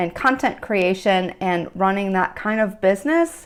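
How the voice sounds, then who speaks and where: A woman talks at a very slow pace in a medium pitch. The recording is very clean, with a silent background. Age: 50s. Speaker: reiki teacher and content creator. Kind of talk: casual chat. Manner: halting.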